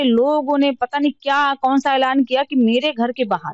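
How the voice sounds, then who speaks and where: The recording is dry and close with no echo. A woman speaks at a moderate pace in a high-pitched voice. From Uttar Pradesh, Banda district. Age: 30s. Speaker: politician. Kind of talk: interview. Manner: animated.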